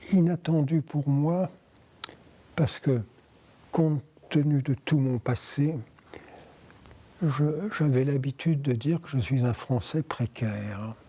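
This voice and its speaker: Speaking very slowly with long, frequent pauses, a man uses a dark, mellow, somewhat breathy voice at a fairly high pitch with ordinary pitch variation. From France, Paris. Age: 80s+. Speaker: interviewee, wartime survivor. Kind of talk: oral history interview. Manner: halting.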